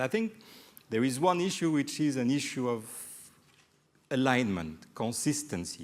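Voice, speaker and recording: A man with a French accent, medium pitch, a fairly slow pace and very wide pitch swings. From Mediterranean region. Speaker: development evaluation expert, panelist. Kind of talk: panel discussion. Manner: halting.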